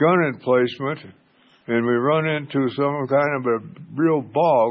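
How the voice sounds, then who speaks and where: Ordinary pitch variation marks this voice with an American accent. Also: man. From United States. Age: 80s+. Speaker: Korean War era army combat engineer veteran. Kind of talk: interview answer. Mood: relaxed, reminiscing. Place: garage. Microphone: phone near.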